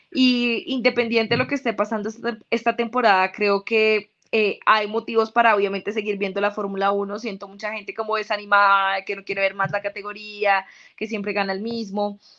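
A woman speaks at a medium pitch with a bright, sharp tone. Her intonation stays fairly even. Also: moderate pace. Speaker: sports journalist and Formula 1 content creator. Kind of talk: casual interview.

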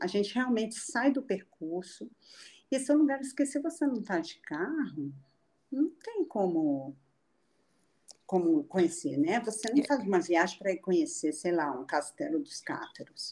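A woman's voice moves through very wide pitch swings. Her tone is dark and mellow, and somewhat breathy. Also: medium pitch for a woman. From Rio de Janeiro, then Brasília from 13. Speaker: photographer and traveler. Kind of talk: casual interview. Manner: animated.

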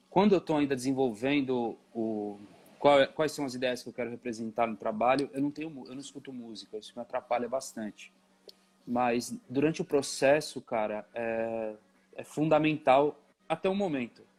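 With an ordinary speaking voice, a man talks at a moderate pace and medium pitch, using ordinary pitch variation and big swings in loudness. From São Paulo East Zone, Brazil. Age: 30s. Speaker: painter and sculptor. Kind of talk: casual interview. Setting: video call.

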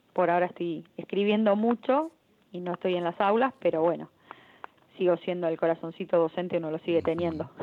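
A fairly quick pace and ordinary pitch variation in an unremarkable speaking voice. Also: woman, fairly low pitch for a woman. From Argentina. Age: 30s. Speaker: writer and literature teacher. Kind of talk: interview. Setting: phone call.

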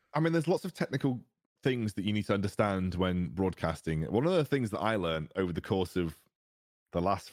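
A man's fairly low voice in a British accent, with very wide pitch swings and a dry, close sound with no echo. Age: 20s. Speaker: esports caster. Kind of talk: casual chat.

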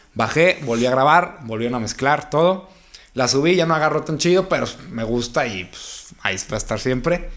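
A plain, everyday voice from a man, fairly high in pitch, with lively intonation at a moderate pace. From Mexico, La Laguna region. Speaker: urban music singer. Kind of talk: interview.

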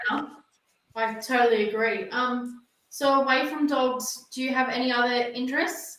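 A woman with an Australian accent speaks at a moderate pace in a high voice. Her intonation stays fairly even. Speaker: podcast host. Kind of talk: interview. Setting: video call.

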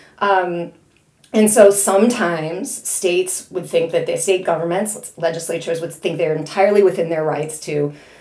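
A woman with a Chicago accent speaks fairly quickly in a fairly low voice with ordinary pitch variation. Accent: Chicago Midwestern American. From US Midwest, Chicago area. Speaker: history professor. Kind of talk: academic interview.

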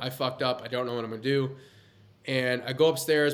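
A man speaking very fast with fairly even intonation. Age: 20s. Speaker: entrepreneur. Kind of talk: casual chat.

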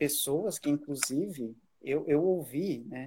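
A man speaks very slowly in a dark, mellow, somewhat breathy tone. His pitch is fairly high, with ordinary variation. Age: 30s. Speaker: teacher and musician. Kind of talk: casual chat.

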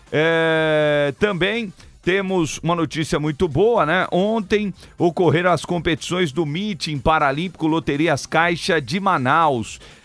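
A fairly high-pitched man at a very slow pace, ordinary pitch variation, with music in the background. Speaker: radio sports host. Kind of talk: live radio show. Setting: radio studio.

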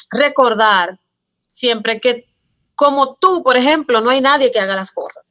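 Bright and sharp in tone, a woman speaks at a moderate pace with ordinary pitch variation. The background is quiet. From Dominican Republic, San Cristóbal. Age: 20s. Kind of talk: casual interview chat.

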